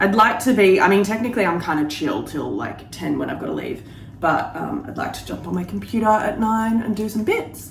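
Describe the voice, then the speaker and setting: Over noticeable background noise and audible room echo, a woman with an Australian accent speaks at a fairly quick pace, with big swings in loudness. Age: 30s. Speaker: lifestyle vlogger. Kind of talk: casual vlog chat. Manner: chatty, casual.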